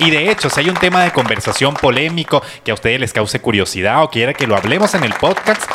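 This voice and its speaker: Over crowd noise in the background, a man with a medium pitch talks very fast in an animated tone with very wide pitch swings. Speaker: podcast co-host. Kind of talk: casual chat. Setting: studio.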